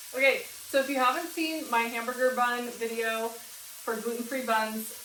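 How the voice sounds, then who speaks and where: A woman speaks loudly at a high pitch in a bright, sharp tone, with audible room echo. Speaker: home cooking youtuber. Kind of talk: cooking tutorial. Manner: casual, chatty.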